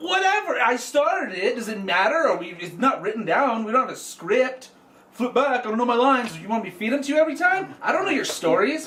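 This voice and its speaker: An angry tone at a fairly quick pace, with very wide pitch swings over noticeable background noise. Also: man, extremely high pitch for a man. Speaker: comedy podcast co-host. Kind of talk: casual comedic chat. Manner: loud, mock-angry ranting.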